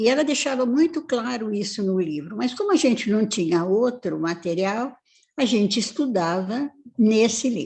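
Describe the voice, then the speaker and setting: A woman speaks at a moderate pace with a fairly high, somewhat breathy voice. Her intonation is lively, and the background is quiet. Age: 80s+. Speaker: family therapist and professor. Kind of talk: live-stream interview.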